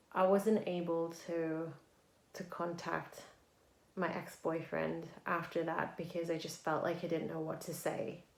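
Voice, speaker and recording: A woman with a fairly low voice speaks in a flat monotone at a fairly slow pace. Audible room echo is present. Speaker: spiritual vlogger. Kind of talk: casual vlog monologue. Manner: stuttering at times.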